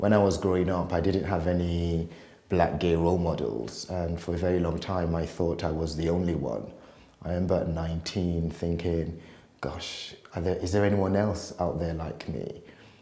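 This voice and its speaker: A man speaks at a very deep, low pitch with a dark, mellow tone. Audible room echo surrounds the voice. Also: fairly even intonation, moderate pace. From Nigeria, then UK from 19. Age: 40s. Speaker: life coach. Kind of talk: testimony.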